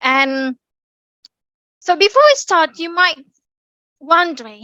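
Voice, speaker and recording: A woman with a British accent speaks in a raised, projected voice at a fairly slow pace. Her tone is bright and sharp, her pitch varies in an ordinary way, and the sound is dry and close with no echo. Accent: British accent, learned. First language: Indonesian. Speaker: public speaking speaker, bank employee. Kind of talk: online talk presentation. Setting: online meeting.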